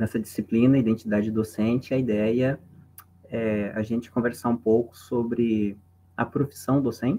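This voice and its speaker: Speaking at a medium pitch and a fairly slow pace, a man has a dark, mellow tone and fairly even intonation. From southern Brazil (Santa Catarina, Paraná). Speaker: philosophy professor. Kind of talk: lecture. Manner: casual.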